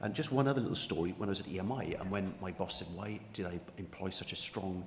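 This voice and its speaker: A man speaks at a fairly low pitch in a somewhat breathy voice. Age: 60s. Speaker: sports union executive. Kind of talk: panel discussion.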